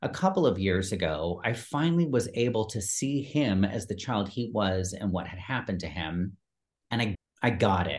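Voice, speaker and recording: Against a quiet background, the speaker sounds somewhat breathy, with lively intonation. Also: man, fairly low pitch for a man, moderate pace. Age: 50s. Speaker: performance coach and personal trainer. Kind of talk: casual chat. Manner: halting.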